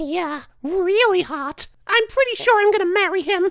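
At a moderate pace, a woman speaks with an extremely high pitch and lively intonation. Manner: dreamy, dismissive, sarcastic.

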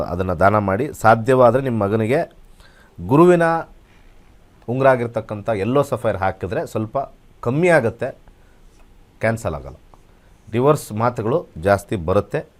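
Pitched in the middle range, a man talks in an unremarkable speaking voice. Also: lively intonation. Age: 50s. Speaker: astrologer. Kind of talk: live call-in astrology consultation.

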